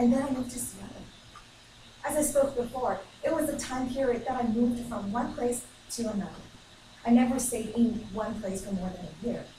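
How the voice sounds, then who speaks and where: A woman with a Chinese accent talks at a fairly quick pace in a high voice, with ordinary pitch variation, big swings in loudness, long, frequent pauses and noticeable background noise. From China. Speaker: student giving a speech. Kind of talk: ceremonial speech. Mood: reflective, sentimental. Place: classroom. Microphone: camera far.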